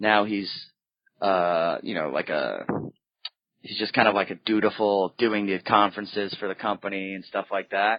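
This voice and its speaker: A man with a Boston accent speaks at a moderate pace and fairly low pitch, his intonation fairly even. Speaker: stand-up comedian. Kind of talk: casual chat. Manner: halting.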